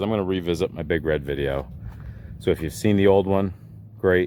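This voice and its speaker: A man's relaxed tone with very wide pitch swings at a moderate pace, over noticeable background noise. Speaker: vintage three-wheeler enthusiast YouTuber. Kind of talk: casual video walkthrough. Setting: outdoors at barn. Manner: relaxed, conversational with fillers.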